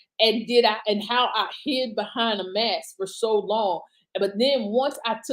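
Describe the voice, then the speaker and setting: A woman speaks loudly at a moderate pace. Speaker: author and motivational speaker. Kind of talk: casual live stream talk.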